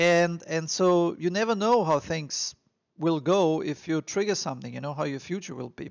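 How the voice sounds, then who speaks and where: A man speaks with an Austrian accent. His pace is moderate. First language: German. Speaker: immigration advice vlogger. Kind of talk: casual advice monologue. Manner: halting, many fillers.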